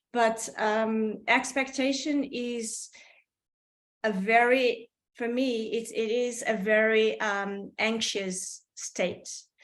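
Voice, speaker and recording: With a Portuguese accent, a woman speaks at a very slow pace in a fairly high pitch with fairly even intonation. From Portugal. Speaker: artist. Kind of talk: casual chat. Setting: video call. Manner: halting.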